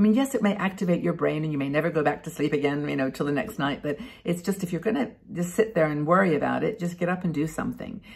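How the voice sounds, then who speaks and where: A woman with a fairly low voice and vocal fry talks very fast with lively intonation over a quiet background. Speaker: vlogger. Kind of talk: casual vlog chat. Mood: warm, cheerful. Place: home room. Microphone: webcam.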